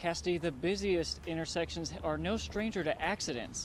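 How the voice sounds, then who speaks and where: A man's fairly high voice with vocal fry and ordinary pitch variation. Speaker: TV news reporter. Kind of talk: live TV news stand-up.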